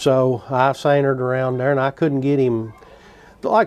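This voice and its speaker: Speaking at a moderate pace, the man has a fairly high pitch and a Kentucky accent. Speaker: traditional gun builder. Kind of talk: storytelling.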